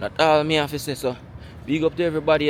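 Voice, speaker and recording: Speaking with a Jamaican accent, a man keeps a fairly high pitch. His pace is fairly quick. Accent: Jamaican Patois-inflected English. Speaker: vlogger. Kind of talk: walking vlog monologue.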